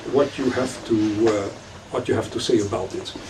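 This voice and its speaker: A man speaks with ordinary pitch variation amid noticeable background noise and audible room echo. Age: 60s. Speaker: rabbi and lecturer. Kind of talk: lecture. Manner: halting, many fillers.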